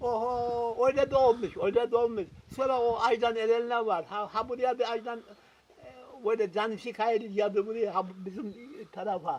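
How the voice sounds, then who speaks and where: His pitch is extremely high for a man. He talks fairly slowly, with fairly even intonation. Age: 80s+. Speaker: Korean War veteran. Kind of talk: interview answer.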